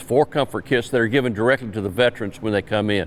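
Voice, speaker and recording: Here a man speaks with a South Carolina accent. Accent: Southern US (South Carolina). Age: 70s. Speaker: Vietnam veteran, event organizer. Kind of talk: interview.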